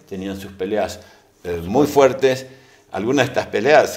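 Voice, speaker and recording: Audible room echo surrounds a man whose fairly low voice has ordinary pitch variation. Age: 60s. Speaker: economist, think tank figure. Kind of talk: interview conversation. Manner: hesitant, many fillers.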